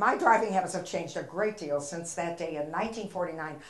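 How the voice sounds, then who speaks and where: A woman talks at a fairly quick pace in a fairly low pitch with ordinary pitch variation, with audible room echo and noticeable background noise. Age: 70s. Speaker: comedian. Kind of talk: stand-up. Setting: stage with audience.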